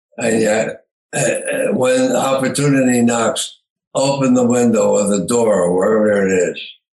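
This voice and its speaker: With audible room echo, a man speaks at a moderate pace and medium pitch. His loudness stays very even and his pitch varies in an ordinary way. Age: 90s. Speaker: retired entrepreneur. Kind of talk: interview. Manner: halting, many fillers.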